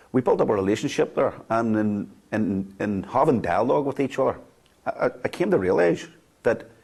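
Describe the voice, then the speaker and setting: Speaking at a fairly quick pace with a Belfast accent, a man uses lively intonation at a medium pitch. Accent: Belfast Northern Irish. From Northern Ireland, Belfast (Greater Shankill). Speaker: former loyalist prisoner, ex-combatant peace worker. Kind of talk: documentary interview. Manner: halting, many repetitions.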